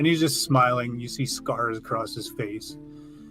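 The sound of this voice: The unforced reading voice moves through ordinary pitch variation.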